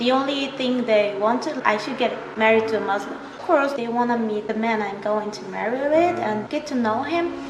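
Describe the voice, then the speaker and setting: Amid noticeable background noise and audible room echo, a woman with a fairly high pitch speaks with hardly any pauses and ordinary pitch variation. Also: moderate pace. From Morocco. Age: 20s. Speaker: interviewee, married foreign wife. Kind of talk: casual interview.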